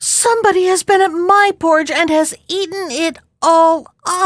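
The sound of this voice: Put-on character voice from a woman, extremely high in pitch, at a moderate pace.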